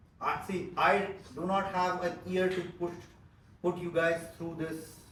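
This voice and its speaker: A loud, high-pitched male voice with audible room echo. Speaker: business trainer. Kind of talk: training seminar.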